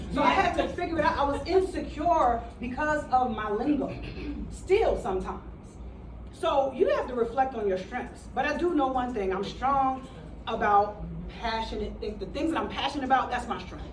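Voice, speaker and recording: With an American accent, a woman speaks at a moderate pace in a high voice, her intonation lively and her tone animated. Noticeable background noise and audible room echo fill the recording. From New York, the Bronx. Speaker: motivational speaker, city employee. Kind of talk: motivational talk to a workshop audience.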